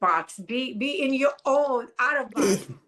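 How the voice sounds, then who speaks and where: In a non-native accent, a woman speaks with a high pitch. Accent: foreign. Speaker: business coach. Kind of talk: podcast interview. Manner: animated.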